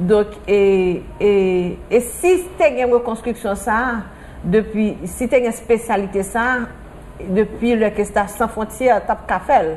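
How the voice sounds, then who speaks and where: Noticeable background noise sits behind a woman with a fairly high pitch. She speaks very slowly with ordinary pitch variation. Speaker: patient's mother. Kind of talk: interview.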